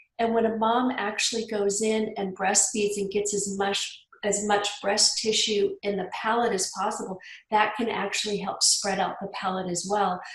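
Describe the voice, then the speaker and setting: With audible room echo and noticeable background noise, a woman speaks in a monotone, flat way at a medium pitch and a moderate pace, with hardly any pauses. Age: 50s. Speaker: health practitioner. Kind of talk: podcast interview.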